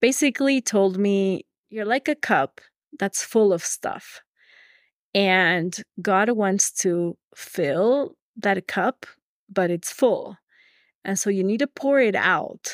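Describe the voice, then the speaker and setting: Someone with a Spanish accent speaks at a very slow pace with lively intonation and long, frequent pauses. The recording is very clean, dry and close, with a silent background and no echo. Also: woman, medium pitch for a woman. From Ecuador (Quito). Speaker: teacher. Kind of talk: interview.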